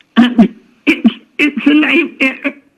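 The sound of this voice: A woman speaks slowly at a high pitch, her intonation fairly even.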